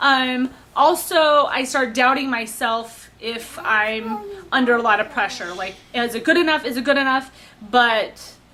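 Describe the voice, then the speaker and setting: Over noticeable background noise, a woman speaks in a high pitch at a fairly slow pace. Her pitch varies in an ordinary way. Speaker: baking show applicant. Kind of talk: audition interview. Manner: hesitant, many fillers.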